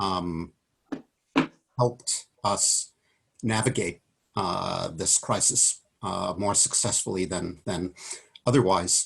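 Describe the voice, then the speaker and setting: Long, frequent pauses interrupt delivery that creeps along at a very slow pace. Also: man, very deep, low pitch for a man, ordinary pitch variation. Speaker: economics professor. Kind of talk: webinar talk. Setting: video call at home. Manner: quiet.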